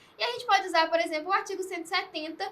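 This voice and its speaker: This woman's voice is raised and projected, with a bright, sharp tone. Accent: Minas Gerais. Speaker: essay writing teacher. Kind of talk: educational video chat.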